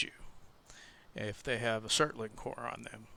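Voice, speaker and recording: A soft-spoken voice with a bright, sharp tone. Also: man. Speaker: gaming video creator and server admin. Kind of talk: gameplay tutorial. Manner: hesitant, with fillers.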